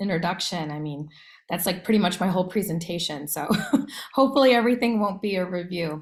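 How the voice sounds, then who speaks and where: In an American accent, a woman speaks at a medium pitch, somewhat breathy, with ordinary pitch variation. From US Midwest, Iowa. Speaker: education nonprofit director. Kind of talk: career talk presentation.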